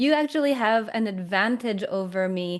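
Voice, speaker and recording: Against a quiet background, a woman with a plain, everyday voice and a fairly high pitch speaks at a fairly slow pace. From Canada. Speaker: communication coach. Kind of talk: interview conversation.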